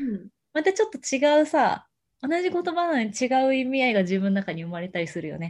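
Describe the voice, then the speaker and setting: An animated woman with a high pitch and very wide pitch swings, against a quiet background. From Japan, Ishikawa Prefecture. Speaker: podcast co-host. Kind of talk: casual chat. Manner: animated, frequent laughter.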